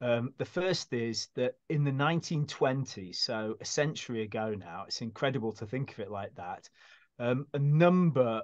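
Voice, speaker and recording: Against a quiet background, the voice moves at a fairly slow pace with ordinary pitch variation. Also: man. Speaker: guest. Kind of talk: interview answer. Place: home room.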